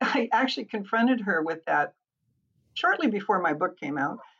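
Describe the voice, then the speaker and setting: A woman talks at a moderate pace, her pitch swinging very widely with vocal fry throughout. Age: 70s. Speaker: psychic consultant. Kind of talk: interview with psychic readings. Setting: remote recording. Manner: hesitant with fillers.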